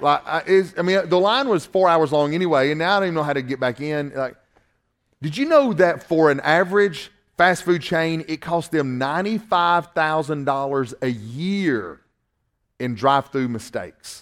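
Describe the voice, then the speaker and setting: A very clean recording with a silent background, moderate pace and ordinary pitch variation. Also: man, fairly high pitch for a man. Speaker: pastor. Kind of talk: sermon. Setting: church with congregation. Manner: halting.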